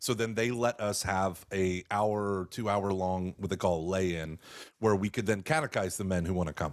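A man with a very deep, low pitch and an American accent speaks at a moderate pace, recorded very cleanly against a silent background. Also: ordinary pitch variation. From Texas. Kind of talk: interview on radio podcast. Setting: radio show.

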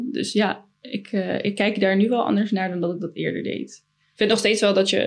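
A woman's voice with vocal fry, fairly even intonation and a moderate pace. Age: 20s. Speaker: design student. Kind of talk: casual chat.

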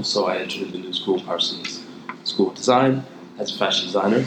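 Someone with an American accent talks at a very fast pace, with audible room echo and noticeable background noise. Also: man. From Ohio, US. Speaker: fashion designer. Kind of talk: interview.

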